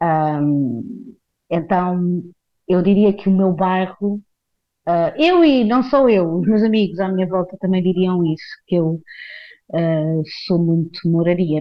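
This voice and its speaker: A woman speaks very slowly at a medium pitch, with ordinary pitch variation and very even loudness. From Portugal, Carcavelos near Lisbon. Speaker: actress. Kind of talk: casual monologue. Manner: hesitant, many fillers.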